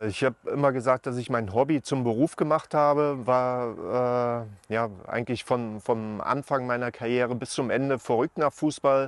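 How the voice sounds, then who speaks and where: Speaking at a moderate pace with hardly any pauses, a man keeps his intonation fairly even. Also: dry sound with no echo. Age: 40s. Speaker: former professional footballer. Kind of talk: interview; interview answer. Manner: hesitant, many filler sounds. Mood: calm, reflective. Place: open country. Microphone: lapel.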